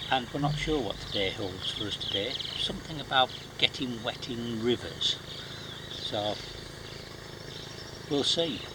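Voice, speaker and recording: A quiet man with medium pitch talks at a fairly slow pace, with long, frequent pauses and noticeable background noise. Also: ordinary pitch variation. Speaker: travel vlogger on survival course. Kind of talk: casual vlog narration. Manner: quiet, hushed.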